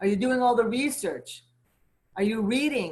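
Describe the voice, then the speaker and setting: A woman speaks in an animated, somewhat breathy tone with lively intonation. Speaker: community leader and event host. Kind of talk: motivational talk on a virtual gathering. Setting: video call.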